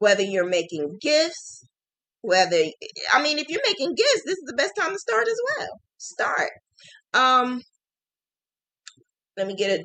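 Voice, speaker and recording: A woman with a New Jersey accent speaks at a fairly slow pace, leaving long, frequent pauses. Her high-pitched voice has a bright, sharp tone and very wide pitch swings. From New Jersey, Jersey City. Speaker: crochet teacher. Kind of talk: live stream chat.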